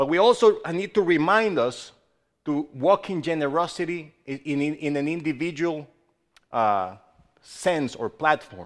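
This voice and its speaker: A man's fairly high voice with lively intonation on a very clean recording with a silent background. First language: not English. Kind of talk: sermon. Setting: church. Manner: halting.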